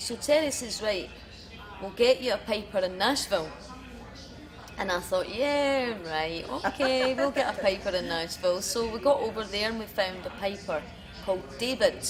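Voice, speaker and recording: A woman with a fairly high voice speaks at a moderate pace and lively intonation. She takes long, frequent pauses over noticeable background noise. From Scotland, east coast (Wemyss, Fife). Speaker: country singer. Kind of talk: casual chat interview. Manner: animated.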